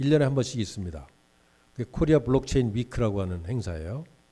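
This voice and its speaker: This man talks at a fairly quick pace with lively intonation. His tone is dark and mellow. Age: 60s. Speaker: guest lecturer, business executive. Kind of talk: lecture. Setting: lecture hall with student audience.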